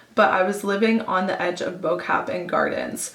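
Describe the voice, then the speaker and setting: A woman with a Canadian accent speaks at a moderate pace and a medium pitch. The room echoes audibly, and background noise is noticeable. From Canada, Toronto. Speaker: travel vlogger. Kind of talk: storytelling vlog. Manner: chatty.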